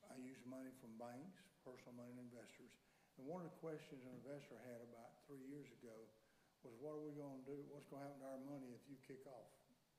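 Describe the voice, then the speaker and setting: A man speaks very fast at a medium pitch, his intonation fairly even and his tone dark and mellow. Audible room echo is present. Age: 60s. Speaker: landlord and property developer. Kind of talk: public hearing testimony. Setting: county commission meeting in a courtroom. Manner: halting, with repetitions.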